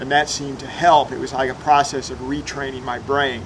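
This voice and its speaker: Amid noticeable background noise and audible room echo, a man with a fairly high pitch speaks at a fairly quick pace with fairly even intonation. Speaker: political science professor. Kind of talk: testimony. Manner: hesitant, many filler uhs.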